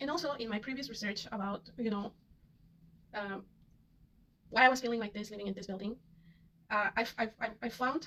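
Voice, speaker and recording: A woman with a Spanish accent speaks fairly quickly at a fairly high pitch. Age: 30s. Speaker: vlogger. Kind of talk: casual monologue. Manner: halting, many fillers and repetitions.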